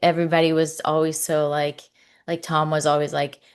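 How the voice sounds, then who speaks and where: A woman speaks at a fairly quick pace in a very deep, low pitch. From Mexico City, Mexico. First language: Spanish. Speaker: actress. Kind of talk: casual chat. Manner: animated.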